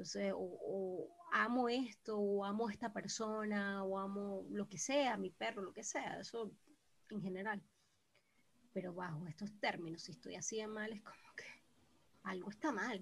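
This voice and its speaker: Speaking at a fairly slow pace, a woman with a somewhat breathy, medium-pitched voice shows ordinary pitch variation. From Venezuela, Caracas. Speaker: podcast co-host. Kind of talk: casual chat. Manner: animated.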